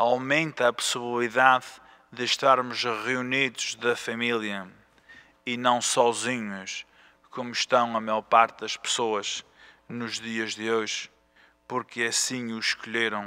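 The man speaks at a very slow pace with long, frequent pauses. His intonation is monotone and flat. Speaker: priest. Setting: church. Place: church. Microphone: podium.

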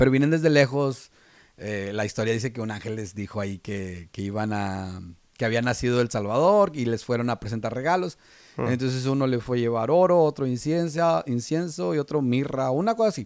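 The pace is fairly quick. The sound is dry with no echo, set against a quiet background. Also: man. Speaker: podcast co-host. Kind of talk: casual podcast chat. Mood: relaxed, some laughter. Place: studio. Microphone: studio mic.

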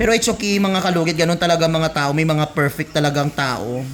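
A man with a fairly high voice and ordinary pitch variation speaks fairly quickly, noticeable background noise behind him. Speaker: nail care vlogger. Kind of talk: casual vlog narration. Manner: loud; animated.

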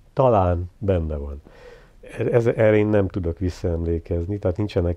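A man talks at a fairly slow pace with a very deep, low pitch and a dark, mellow tone. His pitch varies in an ordinary way, and the sound is dry with no echo. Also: quiet background. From eastern Hungary, near Debrecen; Hungary. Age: 70s. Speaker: visual artist; interviewee. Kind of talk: life story interview. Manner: reflective. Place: home room.

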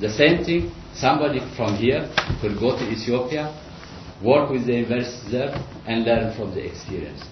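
Amid noticeable background noise, a man speaks with lively intonation and long, frequent pauses. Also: moderate pace. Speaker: irrigation lecturer and researcher; presenter. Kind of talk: seminar presentation. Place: meeting room. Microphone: camera far.

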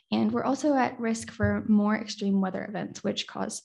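A woman's dark, mellow, somewhat breathy voice at a moderate pace against a quiet background. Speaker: university student presenter. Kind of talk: conference lightning talk. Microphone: webcam.

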